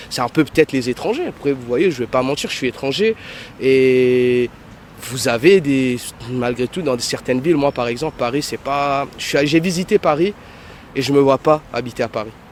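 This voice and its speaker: At a moderate pace and with ordinary pitch variation, a man talks over noticeable background noise. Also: medium pitch for a man. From Mauritius. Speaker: self-employed passer-by interviewed. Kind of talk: street interview.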